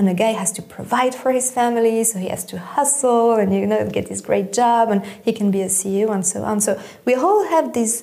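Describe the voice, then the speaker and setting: A woman talks at a moderate pace with hardly any pauses, her fairly high pitch showing ordinary variation. Noticeable background noise runs underneath. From Switzerland. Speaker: head of a nonprofit on startup funding. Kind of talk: interview conversation.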